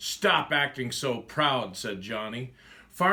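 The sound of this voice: Words delivered in an unforced reading voice.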